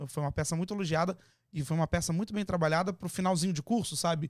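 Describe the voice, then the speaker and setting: A man with a Brazilian accent speaks in a high voice with ordinary pitch variation. The sound is dry with no echo, and the background is quiet. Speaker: TV presenter and actor. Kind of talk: casual chat. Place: studio. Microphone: studio mic.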